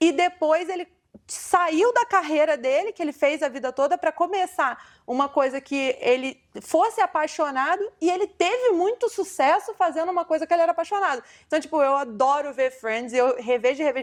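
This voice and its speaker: On a very clean recording with a silent background, a woman speaks fairly quickly at an extremely high pitch with lively intonation. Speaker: podcast host. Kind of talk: casual interview chat.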